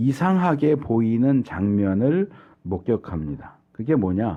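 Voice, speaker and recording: This is a man speaking. His pitch is fairly low. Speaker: pastor. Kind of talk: sermon.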